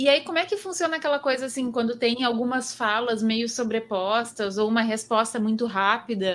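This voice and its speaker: With a plain, everyday voice, a woman speaks fairly high at a moderate pace, with ordinary pitch variation and hardly any pauses. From southern Brazil, Pelotas. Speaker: podcast host. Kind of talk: casual chat. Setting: video call.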